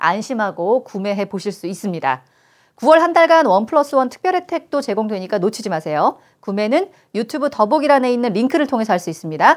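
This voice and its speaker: Against a quiet background, a woman with a fairly high pitch talks at a fairly quick pace, her pitch swinging very widely. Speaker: talk show host. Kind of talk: casual chat. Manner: chatty, talkative. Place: studio. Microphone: lapel.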